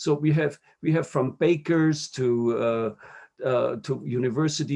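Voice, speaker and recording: With a German accent, a man speaks at medium pitch and with ordinary pitch variation. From Austria, Upper Austria. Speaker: diplomat. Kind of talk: interview. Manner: halting, many fillers and repetitions.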